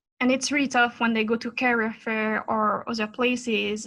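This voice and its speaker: Bright and sharp in tone, a woman's fairly high voice stays monotone and flat at a moderate pace. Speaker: aerospace engineering professor. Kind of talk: interview. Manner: halting.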